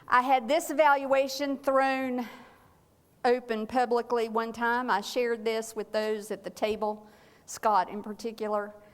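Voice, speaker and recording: A woman with a Southern US accent, fairly high in pitch, at a fairly slow pace with fairly even intonation. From North Carolina (small town). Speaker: clergywoman and church safety trainer. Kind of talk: seminar talk. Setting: church meeting with audience.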